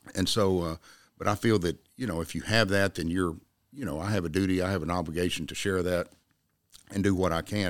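A man with a Texan accent talks at a very fast pace with very deep, low pitch and fairly even intonation. The recording is very clean, with a silent background. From North Texas (Jack County). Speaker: lawyer and political candidate. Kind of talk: interview.

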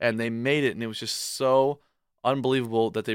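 A man with a plain, everyday voice, medium pitch, fairly even intonation and a fairly quick pace, in a dry, close sound with no echo on a very clean recording with a silent background. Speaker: college athlete and aspiring filmmaker. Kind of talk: radio interview.

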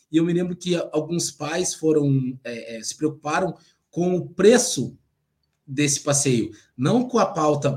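Somewhat breathy and fairly high-pitched, a man speaks at a fairly slow pace with lively intonation. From Paraná, southern Brazil (Cascavel). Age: old. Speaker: literary critic. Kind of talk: casual political chat.

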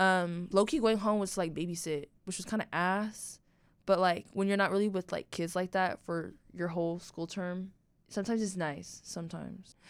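At a moderate pace, a woman with a plain, everyday voice speaks at medium pitch with fairly even intonation. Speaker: college student podcast co-host. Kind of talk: casual chat.

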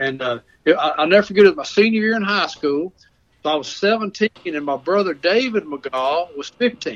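Lively intonation from a man with a Southern US accent at a moderate pace, in a dry, close sound with no echo. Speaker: storyteller. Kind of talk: storytelling. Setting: phone call.

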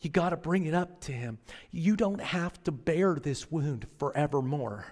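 A plain, everyday voice from a fairly high-pitched man, fairly slow with ordinary pitch variation, on a very clean recording with a silent background. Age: 40s. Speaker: pastor. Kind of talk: sermon. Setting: church.

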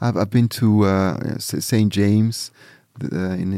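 A man's dark, mellow voice at a moderate pace with fairly even intonation, in a very clean recording against a silent background. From Switzerland, near Zurich. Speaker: musician. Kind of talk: interview. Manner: halting, repeats words.

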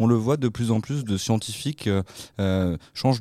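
On a very clean recording with a silent background, a man with a dark, mellow tone and medium pitch speaks at a moderate pace with fairly even intonation, the sound dry and close with no echo. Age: 20s. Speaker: radio host. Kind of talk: radio talk show. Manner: halting, repeats words.

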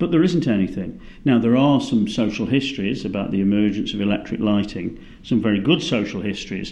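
Lively intonation and a dark, mellow tone in a British accent, at a fairly quick pace. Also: man, fairly low pitch for a man. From Britain. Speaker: cultural geographer, professor. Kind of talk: academic interview.

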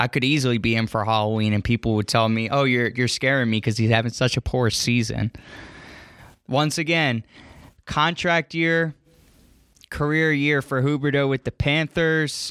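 With an American accent and a normal speaking voice, a man talks at a moderate pace with ordinary pitch variation and very even loudness, on a very clean, dry, close recording with a silent background and no echo. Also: medium pitch for a man. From Philadelphia, US. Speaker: hockey podcast host. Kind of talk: casual sports chat.

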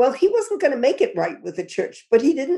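A woman with a dark, mellow tone speaks in a high pitch with very wide pitch swings. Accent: American. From New York City. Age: 80s+. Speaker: poet and activist. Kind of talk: interview conversation.

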